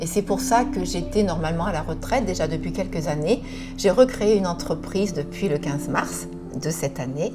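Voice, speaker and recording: A woman's moderately paced speech carries audible room echo, with music playing behind her. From France, Charente. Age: 60s. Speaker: image consultant. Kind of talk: personal testimony. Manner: hesitant, many filler sounds.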